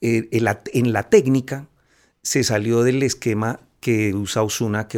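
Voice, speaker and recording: A man's medium-pitched speech at a very slow pace, with ordinary pitch variation, in a very clean recording with a silent background. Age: 50s. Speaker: cartoonist. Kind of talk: casual chat. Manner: halting.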